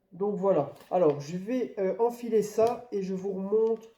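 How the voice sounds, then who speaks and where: A man speaks at a very slow pace in a high voice. His intonation stays fairly even. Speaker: YouTuber. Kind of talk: product unboxing review. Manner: hesitant, many fillers.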